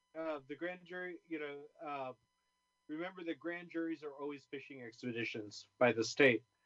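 This man has a fairly high pitch and talks at a moderate pace with ordinary pitch variation. It is a normal speaking voice. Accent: American. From California, Bay Area. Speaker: community organizer and college teacher. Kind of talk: interview.

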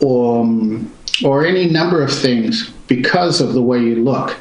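Against noticeable background noise, a man talks at a fairly slow pace with lively intonation. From Pittsburg and Concord, California. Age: 60s. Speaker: diversity consultant, author. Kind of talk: interview.

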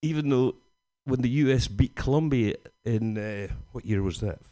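A man talks in a Scottish accent. His medium-pitched voice is dark and mellow, with ordinary pitch variation. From Scotland, Glasgow area. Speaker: stand-up comedian. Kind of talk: stand-up.

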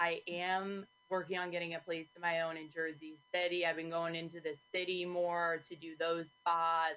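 Music plays in the background as a woman speaks at a fairly low pitch. Her intonation is monotone and flat, with hardly any pauses. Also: moderate pace. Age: 20s. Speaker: stand-up comedian. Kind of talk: casual interview chat.

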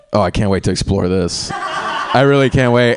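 A man with an American accent talks at a fairly quick pace. Noticeable background noise runs behind him. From small-town North Carolina. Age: 20s. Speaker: stand-up comedian. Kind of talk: stand-up. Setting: stage with audience.

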